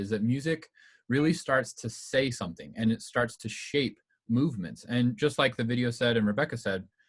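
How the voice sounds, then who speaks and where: A man speaks fairly quickly in a medium-pitched, somewhat breathy voice. His intonation is lively. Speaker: music history presenter. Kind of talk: informal presentation. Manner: fast; casual, many fillers.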